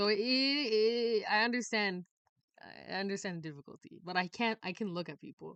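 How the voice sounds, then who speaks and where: In an animated tone, a woman speaks at a moderate pace with big swings in loudness. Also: medium pitch for a woman, ordinary pitch variation. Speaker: YouTuber. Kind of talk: casual chat.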